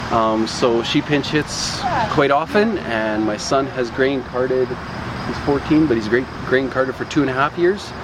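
Speaking with a Canadian accent, a man talks fairly slowly at a medium pitch, with ordinary pitch variation. Noticeable noise runs behind him. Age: 40s. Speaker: farmer. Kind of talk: casual interview. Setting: outdoors on a farm.

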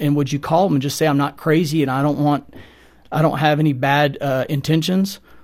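An unremarkable speaking voice, a man's, fairly high-pitched, with an American accent, a moderate pace and fairly even intonation. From Texas (Houston). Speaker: real estate advisor. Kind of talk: testimony. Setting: studio.

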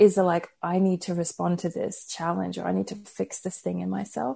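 A woman with an American accent is heard over a quiet background. She speaks at a moderate pace. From Australia, Brisbane. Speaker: pastor and author. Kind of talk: interview.

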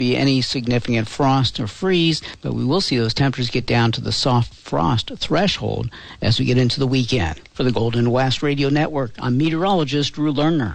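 At a fairly quick pace, a man of medium pitch talks in a normal speaking voice with ordinary pitch variation. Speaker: meteorologist. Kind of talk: weather forecast.

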